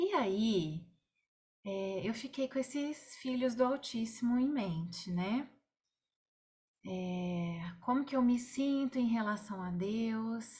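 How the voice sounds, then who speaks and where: A soft-spoken woman talks at a very slow pace with long, frequent pauses, her voice somewhat breathy and fairly high. Her tone is dark and mellow, and her intonation is lively. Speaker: Bible study leader. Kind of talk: online Bible study. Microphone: too quiet.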